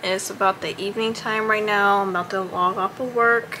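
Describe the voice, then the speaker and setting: Over noticeable background noise, a woman talks at a moderate pace in a medium pitch with monotone, flat intonation. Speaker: lifestyle vlogger. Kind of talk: casual vlog. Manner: relaxed, casual.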